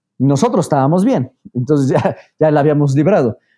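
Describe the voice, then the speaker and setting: Talking at a very fast pace, a man has a fairly high pitch and a dark, mellow tone, captured on a very clean recording with a silent background. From Mexico, Puebla. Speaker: mountaineer and renewable energy consultant. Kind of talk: interview.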